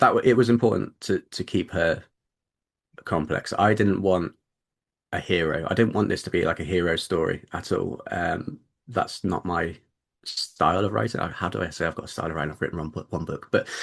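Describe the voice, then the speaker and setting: Over a quiet background, a man with a British accent talks at a fairly quick pace in a very deep, low pitch. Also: ordinary pitch variation. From Britain. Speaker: debut novelist. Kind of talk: interview. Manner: halting, many repeated words.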